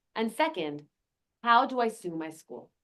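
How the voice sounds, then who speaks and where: Speaking with a New Jersey accent, a woman uses lively intonation at a fairly high pitch. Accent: American, New Jersey. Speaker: lawyer and activist. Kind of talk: panel talk. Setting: conference meeting with in-person and online audience.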